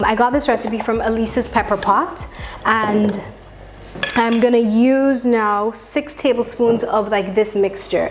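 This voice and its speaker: A woman's fairly high, fairly even-toned voice at a fairly slow pace, very even in loudness, with noticeable background noise. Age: young. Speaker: cooking vlogger. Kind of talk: casual cooking tutorial.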